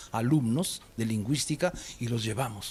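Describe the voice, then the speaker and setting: A man speaks over noticeable background noise. His pitch rises and falls in an ordinary way. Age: 60s. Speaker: teacher. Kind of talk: casual chat.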